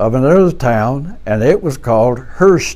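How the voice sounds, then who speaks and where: A man with a dark, mellow tone at medium pitch, lively in intonation and fairly slow. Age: 80s+. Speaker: war veteran. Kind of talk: oral history interview. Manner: halting.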